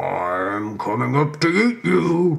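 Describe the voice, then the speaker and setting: Using a put-on character voice, a man speaks at a fairly high pitch with very wide pitch swings. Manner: menacing threat.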